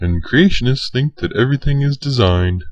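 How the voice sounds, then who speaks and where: A cartoonish character voice from a man, medium in pitch, at a fairly quick pace. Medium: puppet show. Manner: anxious, conspiratorial.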